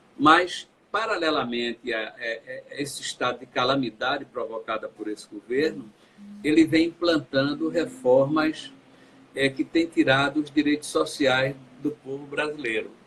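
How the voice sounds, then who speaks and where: A man's fairly slow speech amid noticeable background noise. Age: 60s. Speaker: politician. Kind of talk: interview.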